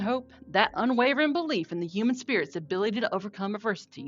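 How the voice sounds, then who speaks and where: Over music in the background, a woman with a Southern US accent talks at a fairly quick pace, her pitch swinging very widely. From North Carolina, USA. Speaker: podcaster, trauma survivor. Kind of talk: podcast intro.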